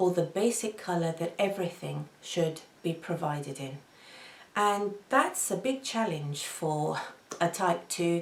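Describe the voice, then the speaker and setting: A woman with a fairly low pitch speaks at a fairly slow pace, her pitch varying in an ordinary way. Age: 50s. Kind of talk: casual talk to camera.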